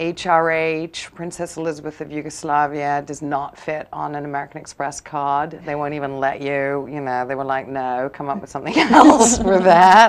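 Speaking in a posh English accent at a moderate pace, a woman with a very deep, low pitch shows big swings in loudness and hardly any pauses. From England. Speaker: author; guest. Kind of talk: TV interview. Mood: amused, anecdotal. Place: studio.

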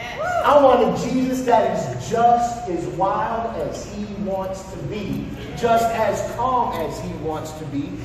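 With audible room echo and noticeable background noise, a man speaks at a very slow pace in a high pitch, using lively intonation and hardly any pauses. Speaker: pastor. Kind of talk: sermon. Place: stage.

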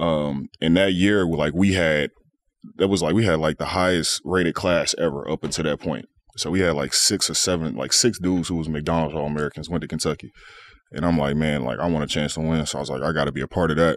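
With a very deep, low pitch and vocal fry, a man talks very fast in fairly even intonation, recorded dry with no echo over light background noise. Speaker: podcast guest. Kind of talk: interview answer. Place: studio. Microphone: studio mic.

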